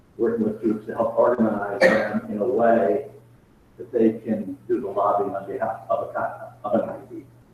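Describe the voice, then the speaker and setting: A man talks at a moderate pace with big swings in loudness. Noticeable background noise sits behind him. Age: 60s. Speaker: professor. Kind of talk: Q&A answer in online meeting. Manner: halting.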